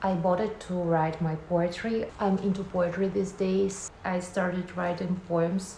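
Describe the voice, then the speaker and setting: Through audible room echo and noticeable background noise, the voice moves at a fairly slow pace with hardly any pauses and a monotone, flat intonation. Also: woman, medium pitch for a woman. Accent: Russian. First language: Russian. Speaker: vlogger. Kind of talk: casual vlog talk to camera.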